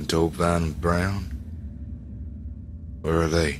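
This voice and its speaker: A man puts on a character voice with a very deep, low pitch. Clear background noise runs underneath. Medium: solo performance. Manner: terse, blunt.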